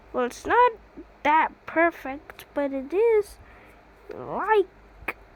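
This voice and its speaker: Noticeable background noise sits behind a woman speaking at a very slow pace. Her pitch swings very widely. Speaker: hobbyist builder showing creations. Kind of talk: casual tutorial. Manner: halting, repetitive.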